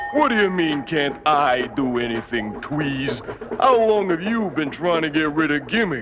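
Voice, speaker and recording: A man's cartoonish character voice, fairly high in pitch, at a moderate pace over clear background noise. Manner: gruff, complaining.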